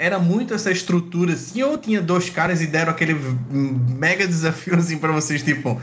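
A man talks at a very fast pace with a fairly high pitch and ordinary pitch variation. Audible room echo and noticeable background noise fill the recording. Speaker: podcast co-host, hacker. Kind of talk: casual podcast chat. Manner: animated.

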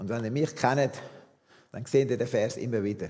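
With a dark, mellow tone and a somewhat breathy quality, a man talks fairly slowly. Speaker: visiting preacher, former missionary. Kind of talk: sermon. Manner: halting.

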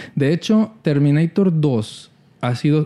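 Dark and mellow in tone, a man's voice sits fairly high in pitch. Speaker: podcast co-host. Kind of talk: casual chat.

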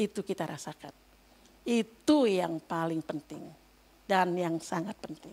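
A woman with a fairly low voice speaks fairly slowly, her pitch varying in an ordinary way and her loudness swinging widely. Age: 60s. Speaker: lay preacher. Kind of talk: sermon. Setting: church. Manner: animated.

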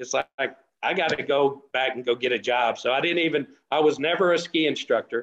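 A man speaks in a West Texas accent. His pitch is fairly high and his intonation fairly even. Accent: West Texas drawl. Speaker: off-road racer. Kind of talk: casual chat.

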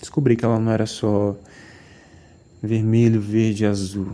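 Speaking at a fairly slow pace, a man uses a fairly low pitch and monotone, flat intonation. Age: 20s. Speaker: podcast host, photographer. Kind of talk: casual solo monologue.

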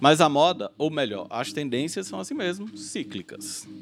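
With music in the background, a man with a fairly high pitch talks at a fairly slow pace, his pitch swinging very widely. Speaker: podcast host. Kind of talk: casual chat.

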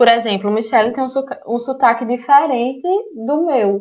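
A woman speaks in a high pitch with ordinary pitch variation. Her pace is fairly slow. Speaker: podcast host. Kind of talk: casual conversational podcast discussion.

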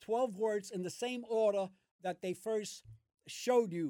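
A man with a New York accent, high-pitched, with ordinary pitch variation, a fairly slow pace and a dry, close sound with no echo. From US Northeast, Brooklyn. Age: 70s. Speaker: host's father. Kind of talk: casual chat. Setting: gym. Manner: energetic.

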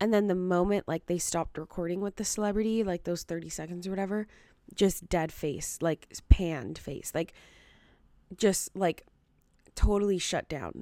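A soft-spoken woman with a dark, mellow tone and a medium pitch talks at a moderate pace with fairly even intonation. Her loudness swings widely, and the recording is very clean with a silent background. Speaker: podcast host and TikTok creator. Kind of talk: casual solo commentary. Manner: casual, many fillers like 'like' and 'um'.

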